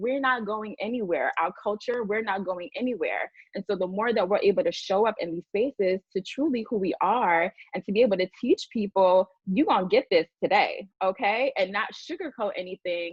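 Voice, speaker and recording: Speaking in a Bronx accent at a moderate pace, a woman uses a medium pitch with ordinary pitch variation. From New York, the Bronx. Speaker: diversity and inclusion leader. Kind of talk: panel discussion.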